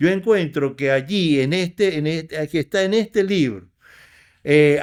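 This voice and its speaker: Fairly high in pitch with ordinary pitch variation, a man talks at a fairly slow pace. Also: very clean recording, silent background. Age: 60s. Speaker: poet. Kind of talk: interview. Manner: halting.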